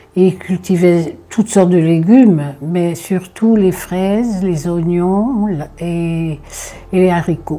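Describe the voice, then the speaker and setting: A woman speaks at a very slow pace with a dark, mellow tone. Her pitch variation is ordinary. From Corsica. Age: 80s+. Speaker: elderly storyteller recalling childhood. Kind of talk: personal reminiscence. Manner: halting, many hesitations and repetitions.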